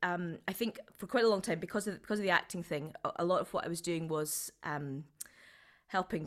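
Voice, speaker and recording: A woman speaks with a Scottish accent in a very clean recording with a silent background. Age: 40s. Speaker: writer, performer and creative director. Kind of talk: interview.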